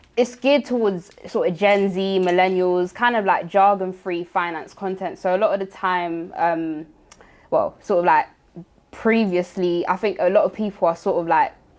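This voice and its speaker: A woman with a London accent speaks at a medium pitch with fairly even intonation. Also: moderate pace. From London, Tottenham. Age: 20s. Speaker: finance content creator. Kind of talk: interview.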